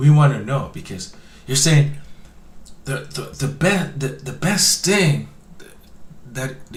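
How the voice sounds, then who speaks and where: A man speaks with a fairly high pitch. The room echo is audible, and there is noticeable background noise. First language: not English (immigrant). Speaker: online commentary show host. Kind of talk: reaction commentary on clips. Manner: halting, many repeated words.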